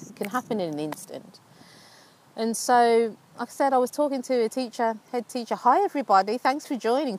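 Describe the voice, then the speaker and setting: A woman with a Birmingham accent at a moderate pace. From England, Birmingham. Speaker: life coach. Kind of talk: live stream chat. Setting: outdoors. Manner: animated.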